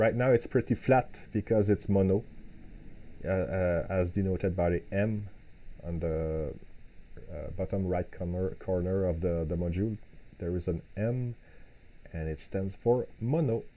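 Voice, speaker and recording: A man with a non-native accent, very deep, low pitch and a dark, mellow tone, at a fairly slow pace with long, frequent pauses. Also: ordinary pitch variation. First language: not English. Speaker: software developer; software demonstrator. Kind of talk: live tutorial. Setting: live stream at home. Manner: halting, frequent repetitions and fillers. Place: home room.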